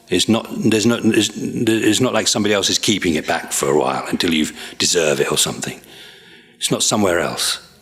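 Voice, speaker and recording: Lively intonation marks this man's fairly low voice. He speaks at a fairly quick pace over noticeable background noise. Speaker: Buddhist monk teacher. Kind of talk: dharma teaching review session. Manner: halting; fast.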